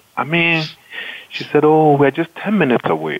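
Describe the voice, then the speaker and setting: There is noticeable background noise behind this man. He talks at a fairly quick pace with a fairly high pitch. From Ghana. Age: 40s. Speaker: engineering dean. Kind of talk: interview.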